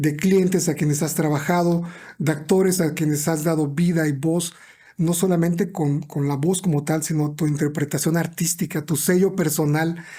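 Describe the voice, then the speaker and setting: A man speaks at a fairly high pitch in a dark, mellow tone. His intonation is monotone and flat, and his loudness stays very even. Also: moderate pace. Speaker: podcast host. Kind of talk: podcast interview host.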